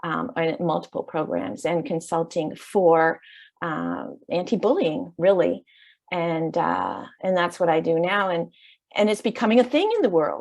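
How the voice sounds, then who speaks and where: A woman with a Canadian accent, fairly low in pitch with vocal fry, lively intonation and a fairly slow pace against a quiet background. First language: Dutch. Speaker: education consultant. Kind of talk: interview.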